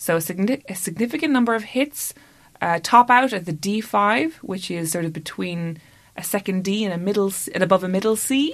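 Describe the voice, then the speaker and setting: A woman speaks at a moderate pace and medium pitch, with lively intonation and big swings in loudness. The recording is very clean, with a silent background. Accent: Irish. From Ireland. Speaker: comedy podcast co-host. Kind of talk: casual chat.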